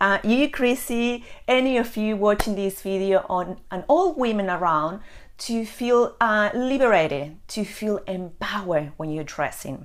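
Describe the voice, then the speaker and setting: With an Argentine accent, a woman talks at a fairly slow pace in a medium pitch, her intonation lively. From Argentina. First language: Spanish. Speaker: personal stylist. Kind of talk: live video chat to viewers. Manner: hesitant with frequent fillers.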